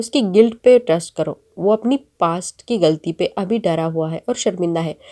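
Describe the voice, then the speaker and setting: Her voice is medium-pitched with a dark, mellow tone, and this woman uses lively intonation in a dry, close sound with no echo. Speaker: YouTube drama recap narrator. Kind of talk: plot recap narration.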